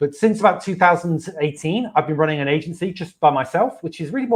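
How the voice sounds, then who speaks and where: Here is a man with a British accent. He talks at a very fast pace. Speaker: marketing agency owner. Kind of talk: interview. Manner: halting.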